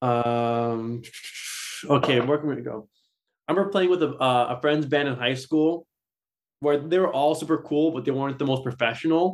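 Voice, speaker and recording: With a Californian accent, a man talks with long, frequent pauses on a very clean recording with a silent background. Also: ordinary pitch variation, moderate pace. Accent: Californian American. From Southern California. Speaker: metal guitarist. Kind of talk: casual interview.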